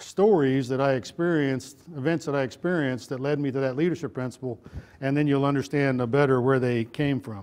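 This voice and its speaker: Over a quiet background, a man with a Texan accent talks in a fairly high pitch with ordinary pitch variation. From Texas. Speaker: retired army general, leadership speaker. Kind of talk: motivational talk. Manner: conversational, folksy.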